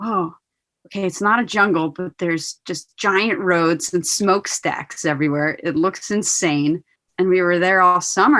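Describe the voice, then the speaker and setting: A woman's medium-pitched voice moves at a fairly slow pace. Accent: New Jersey. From born in Poland, raised in New Jersey. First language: Polish. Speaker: professional skateboarder. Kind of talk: casual interview.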